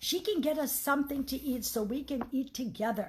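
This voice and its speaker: A woman puts on a character voice. It is high-pitched and moves at a fairly quick pace. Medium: read story. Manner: open, chatty, eager.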